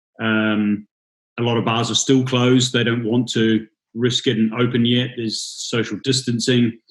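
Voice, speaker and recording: A man with a New Zealand accent speaks at a moderate pace in a medium pitch, his intonation monotone and flat. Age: 30s. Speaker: bartender and drinks brand ambassador. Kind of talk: casual interview.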